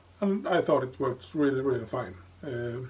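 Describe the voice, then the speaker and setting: A man speaks at a fairly slow pace, his voice somewhat breathy. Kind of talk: casual vlog chat. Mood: relaxed, cheerful. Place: bathroom. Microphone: phone near.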